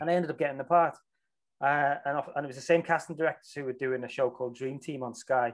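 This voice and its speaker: A man with a Liverpool accent, very fast, fairly high in pitch, with fairly even intonation. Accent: Scouse. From Liverpool, England. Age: 40s. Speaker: film director and actor. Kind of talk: casual interview chat.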